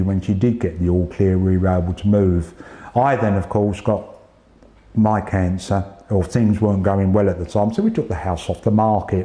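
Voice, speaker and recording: A man with a fairly low pitch speaks while noticeable background noise carries on. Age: 60s. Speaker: cancer patient, retired police officer. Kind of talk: interview testimony. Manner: halting, repeats words.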